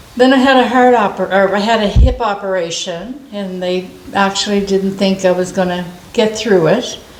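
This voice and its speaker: Amid noticeable background noise and audible room echo, a woman of medium pitch speaks with ordinary pitch variation. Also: moderate pace. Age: 70s. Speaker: senior citizen granted a wish. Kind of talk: casual interview. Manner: halting.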